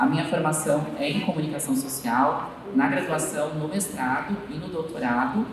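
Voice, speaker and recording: A man's fairly high voice with lively intonation, amid noticeable background noise and audible room echo. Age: 30s. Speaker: university lecturer and diversity consultant. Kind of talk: panel discussion. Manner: slow.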